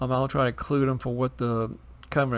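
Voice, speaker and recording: A man's voice at medium pitch. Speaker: tabletop gaming YouTuber. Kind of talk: casual tutorial. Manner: halting, many fillers.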